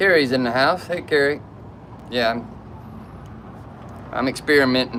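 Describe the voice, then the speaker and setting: Amid noticeable background noise, a man with a Southern US accent talks at a moderate pace and a medium pitch, with ordinary pitch variation and long, frequent pauses. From South Georgia / North Florida. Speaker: YouTuber. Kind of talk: casual live stream chat. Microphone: camera built-in mic.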